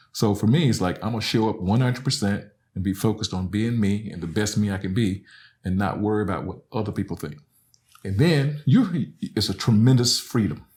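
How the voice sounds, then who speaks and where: In a very clean recording with a silent background, a man with an American accent speaks at a fairly quick pace, in a fairly low, somewhat breathy voice with ordinary pitch variation. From Alabama, US South. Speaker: professor. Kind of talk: casual chat.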